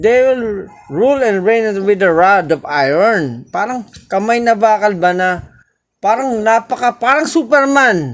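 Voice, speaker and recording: Lively intonation at a fairly slow pace, with very even loudness. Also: man, high pitch for a man. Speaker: Bible study teacher. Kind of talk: Bible study teaching. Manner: halting.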